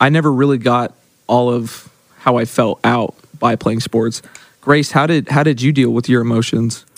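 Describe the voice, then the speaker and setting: A man's plain, everyday voice, medium in pitch, with fairly even intonation and an American accent. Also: moderate pace. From Oklahoma. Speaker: church ministry intern. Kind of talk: casual chat.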